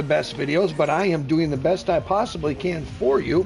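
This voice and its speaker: A man's fairly high voice with ordinary pitch variation, music in the background. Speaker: gaming streamer. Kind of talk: live gameplay commentary. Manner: animated.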